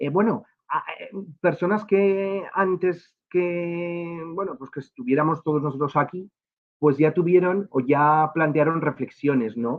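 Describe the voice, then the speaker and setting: A man's voice with big swings in loudness. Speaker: education official. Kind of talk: lecture. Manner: fast; halting with fillers.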